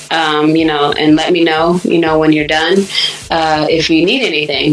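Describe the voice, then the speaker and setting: A woman with an American accent and fairly low pitch speaks over noticeable background noise. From US Michigan, raised Sacramento California. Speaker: singer-songwriter and producer. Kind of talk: interview, casual chat about music career. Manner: bright, breezy, wide awake.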